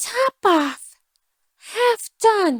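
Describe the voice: Putting on a character voice at an extremely high pitch, a woman speaks very slowly with big pitch swings in a dry, close sound with no echo.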